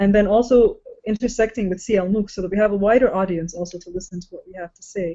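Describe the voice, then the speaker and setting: A woman of medium pitch talks at a very fast pace. Her loudness swings widely. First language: not English. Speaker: educator, panel co-host. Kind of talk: online panel discussion. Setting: video call. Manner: halting, many fillers.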